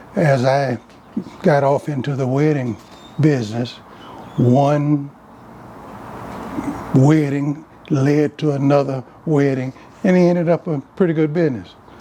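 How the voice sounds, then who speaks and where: A man's fairly high voice at a fairly slow pace, with fairly even intonation, long and frequent pauses, and noticeable background noise. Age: 80s+. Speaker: classic car owner, former juvenile court worker and wedding car business owner. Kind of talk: casual conversation, interview answer.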